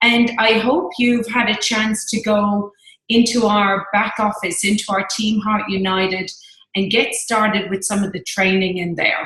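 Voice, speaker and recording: Speaking with an Irish accent, a woman uses a fairly high pitch and fairly even intonation. Her pace is fairly slow, and the room echo is audible. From Ireland. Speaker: network marketing team leader. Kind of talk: team training presentation.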